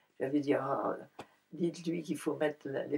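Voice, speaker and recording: Fairly even intonation marks this woman's very deep, low-pitched voice. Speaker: Buddhist nun and painter. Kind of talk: interview answer.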